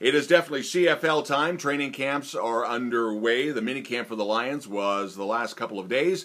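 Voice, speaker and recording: With a bright, sharp tone, a man talks at a moderate pace and ordinary pitch variation. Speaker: local news host. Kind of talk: casual news update. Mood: cheerful, friendly. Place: office. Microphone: phone near.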